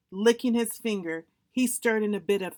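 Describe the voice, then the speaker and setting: In a very clean recording with a silent background, a woman with a medium-pitched, unremarkable speaking voice talks with ordinary pitch variation. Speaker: storyteller. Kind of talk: children's story reading.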